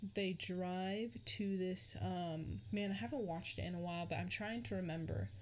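Room echo is audible as a woman speaks fairly slowly. Her fairly low voice holds a very even loudness. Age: 20s. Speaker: podcast host. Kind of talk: solo casual monologue. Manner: rambling with fillers and self-corrections.

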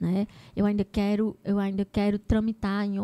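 A woman's medium-pitched voice with a dark, mellow tone and fairly even intonation, dry and close with no echo, on a very clean recording with a silent background. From Brazil, Ceará (Arneiroz). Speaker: teacher and education entrepreneur. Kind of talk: casual interview.

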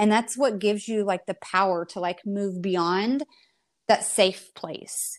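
A woman speaks in a normal speaking voice at a medium pitch and a fairly slow pace with ordinary pitch variation. The recording is very clean with a silent background. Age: 40s. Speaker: network marketer and photographer. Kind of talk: casual chat.

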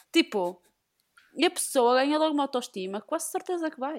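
A woman at a moderate pace with very wide pitch swings, in a very clean recording with a silent background. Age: 20s. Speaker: podcast guest. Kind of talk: casual chat.

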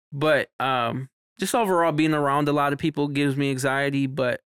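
The sound is dry and close, with no echo. A man with a normal speaking voice and an American accent speaks at a fairly high pitch with fairly even intonation. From Mexican heritage, US. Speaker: podcast co-host and party promoter. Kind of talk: casual chat.

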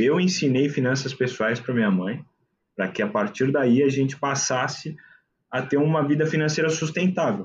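This man has a fairly high, somewhat breathy voice. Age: 20s. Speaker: investment consultant. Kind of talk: casual chat.

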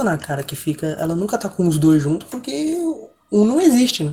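A man pitched high delivers his lines at a fairly quick pace. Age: 20s. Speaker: podcast panelist. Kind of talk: casual chat. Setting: call.

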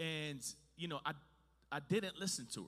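Bright and sharp in tone, a man speaks at a fairly slow pace in an animated, playful way with ordinary pitch variation.

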